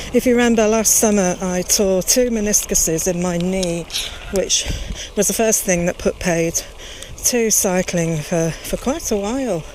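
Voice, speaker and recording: Over noticeable background noise, a woman speaks at a moderate pace with a medium pitch and ordinary pitch variation. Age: 60s. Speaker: cycling vlogger. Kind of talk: casual vlog narration while cycling. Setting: outdoors on a bike ride.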